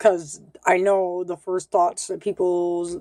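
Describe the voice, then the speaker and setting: Her tone is dark and mellow. The woman speaks at a very slow pace. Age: 30s. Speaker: vlogger. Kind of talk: casual vlog. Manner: hesitant, many ums.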